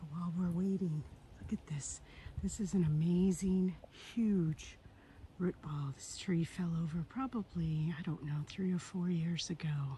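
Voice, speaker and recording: This woman talks in a whisper. Her pace is fairly slow. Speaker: RV-living lifestyle vlogger and online reseller. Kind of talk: casual vlog narration. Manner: whispering.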